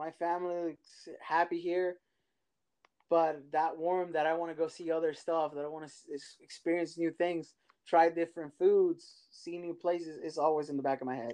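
In a Spanish accent, a man speaks in a high, dark, mellow voice with a monotone, flat intonation. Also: moderate pace. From Mexico. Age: 30s. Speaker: immigrant sharing his story. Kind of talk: casual interview.

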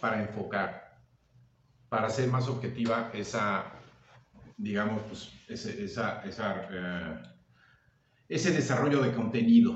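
Amid audible room echo, a man of medium pitch speaks at a very slow pace with ordinary pitch variation and long, frequent pauses. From Mexico, Veracruz (Agua Dulce). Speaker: actor, director and teacher. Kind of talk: casual chat.

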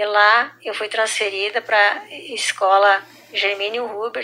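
The woman speaks at medium pitch with monotone, flat intonation. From southern Brazil, Rio Grande do Sul. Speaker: schoolteacher. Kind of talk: personal testimony.

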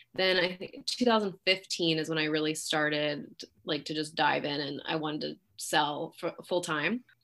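A woman with a Californian accent and a very deep, low voice speaks fairly slowly with ordinary pitch variation. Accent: Californian American. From San Francisco Bay Area, California. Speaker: realtor. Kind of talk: interview.

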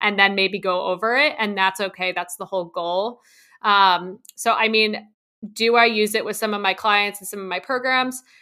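A woman with an American accent has a normal speaking voice at medium pitch. She keeps a moderate pace and fairly even intonation, with big swings in loudness. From New Jersey. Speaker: dietitian. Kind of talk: interview.

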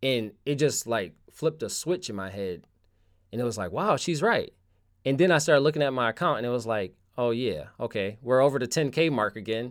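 An ordinary speaking voice from a man, medium in pitch, at a fairly quick pace with lively intonation. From Connecticut, US. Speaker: street photographer. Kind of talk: casual interview chat. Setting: remote call.

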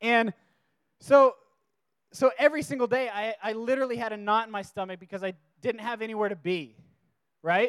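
A man with an American accent, a high pitch and ordinary pitch variation, with long, frequent pauses. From US West Coast (Washington, California). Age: 30s. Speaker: youth preacher. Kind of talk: sermon. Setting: stage with audience. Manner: casual, filler-heavy.

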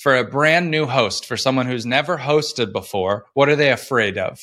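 Bright and sharp in tone, a man speaks at a moderate pace with lively intonation in a very clean recording with a silent background. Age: 40s. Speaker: author on hosting parties. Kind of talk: casual chat.

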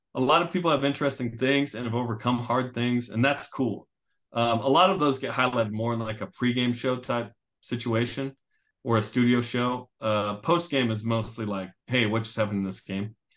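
With an ordinary speaking voice, a man speaks at a fairly quick pace in a medium pitch with ordinary pitch variation. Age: 40s. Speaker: sports broadcaster and radio co-host. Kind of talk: casual interview.

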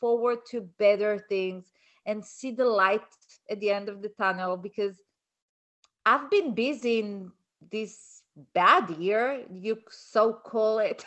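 The speaker talks at a very slow pace with a non-native accent and ordinary pitch variation. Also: woman. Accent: foreign-accented English. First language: not English. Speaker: colon-health practitioner and author. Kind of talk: casual chat.

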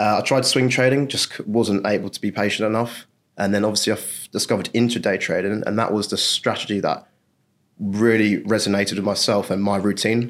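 Monotone, flat intonation in an English accent at a fairly quick pace, on a very clean recording with a silent background. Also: man, fairly low pitch for a man. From England. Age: 20s. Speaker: funded trader. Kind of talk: interview.

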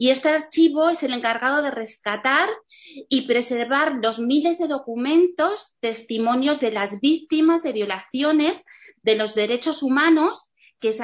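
Lively intonation from a woman speaking at a fairly slow pace. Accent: Castilian. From Spain. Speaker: panel moderator. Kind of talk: panel moderation. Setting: video call.

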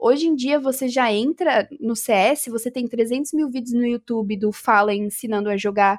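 At a moderate pace and with hardly any pauses, a woman speaks in a high pitch with ordinary pitch variation. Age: 20s. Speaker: gamer and influencer. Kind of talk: casual chat.

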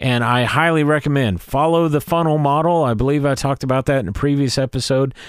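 Very even in loudness, a man with an American accent talks very fast with hardly any pauses and ordinary pitch variation. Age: 40s. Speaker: worship leader and podcast host. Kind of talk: solo podcast devotional talk.

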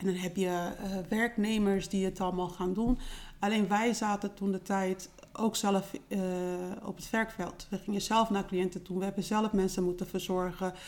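A woman speaks at a medium pitch in a monotone, flat delivery. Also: moderate pace. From Netherlands. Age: 40s. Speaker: home care business owner. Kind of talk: interview.

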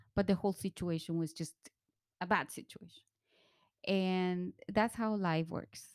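On a very clean recording with a silent background and a dry, close sound with no echo, a woman speaks at a moderate pace and medium pitch with fairly even intonation and long, frequent pauses. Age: 40s. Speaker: podcast co-host. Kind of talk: casual chat.

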